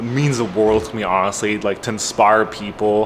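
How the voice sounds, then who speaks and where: Noticeable background noise sits behind a man speaking at a fairly slow pace. His intonation is monotone and flat. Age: 20s. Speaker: car YouTuber. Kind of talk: casual vlog monologue. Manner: halting, many fillers.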